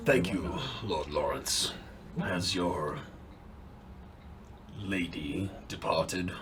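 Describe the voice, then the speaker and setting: Over clear background noise, a man uses a put-on character voice with a very deep, low pitch, speaking at a very slow pace with long, frequent pauses. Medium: actual play. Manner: formal, stilted.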